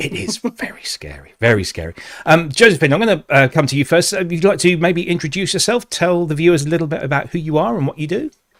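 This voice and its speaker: A man with a British accent, fairly high pitch and ordinary pitch variation, talking at a very fast pace with hardly any pauses. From UK. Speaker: webinar host, corporate trainer. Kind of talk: webinar presentation.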